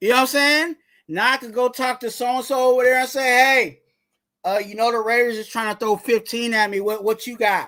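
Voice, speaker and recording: At a fairly quick pace, a man projects a raised voice with an extremely high pitch and a bright, sharp tone, recorded very cleanly against a silent background. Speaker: sports podcaster / YouTuber. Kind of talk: casual live commentary. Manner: loud; animated.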